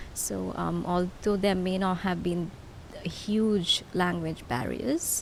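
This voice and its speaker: The speech moves at a very slow pace. Noticeable background noise runs underneath. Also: woman. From Sri Lanka, Galle. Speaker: PhD researcher and psychologist. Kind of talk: podcast interview. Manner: hesitant, many filler words.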